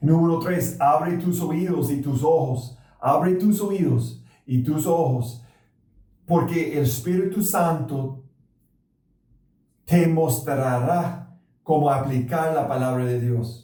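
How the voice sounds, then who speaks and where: A man with a non-native accent speaks very slowly, with long, frequent pauses, in a dark, mellow, somewhat breathy voice of fairly high pitch and ordinary pitch variation. Audible room echo surrounds him. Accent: foreign accent in Spanish. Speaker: pastor. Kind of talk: sermon. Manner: halting.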